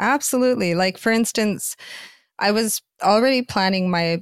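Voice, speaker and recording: On a very clean recording with a silent background and a dry, close sound with no echo, a woman with a Canadian accent speaks at a moderate pace, her pitch swinging very widely. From Canada. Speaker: author and adult performer. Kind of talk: interview conversation.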